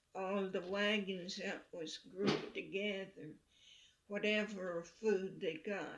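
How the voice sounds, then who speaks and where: A woman speaks at a very slow pace, her voice marked by vocal fry. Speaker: Choctaw elder. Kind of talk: oral history interview answer.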